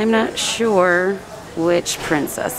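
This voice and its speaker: There is no echo, so the sound stays dry. Background noise is noticeable throughout. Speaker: shopping vlogger. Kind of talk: casual vlog chat. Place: shop. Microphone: phone near.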